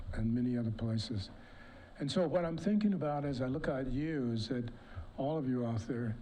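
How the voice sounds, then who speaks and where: Amid audible room echo, a man with a dark, mellow tone speaks fairly quickly at medium pitch with lively intonation. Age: 70s. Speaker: award speaker. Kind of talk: award speech.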